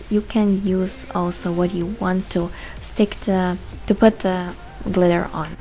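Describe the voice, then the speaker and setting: Noticeable background noise fills the recording. This woman's speech is very slow. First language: German. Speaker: beauty vlogger. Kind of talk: tutorial.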